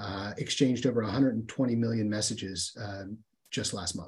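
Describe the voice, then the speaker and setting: Speaking at a moderate pace with an American accent, a man has a medium pitch, a somewhat breathy sound, and ordinary pitch variation. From US Midwest, southern Ohio (Appalachia). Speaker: humanitarian aid worker. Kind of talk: interview. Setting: call.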